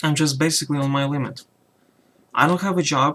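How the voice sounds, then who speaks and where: Quiet and fairly high for a man, his voice shows ordinary pitch variation. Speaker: YouTuber. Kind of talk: personal vlog rant. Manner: halting.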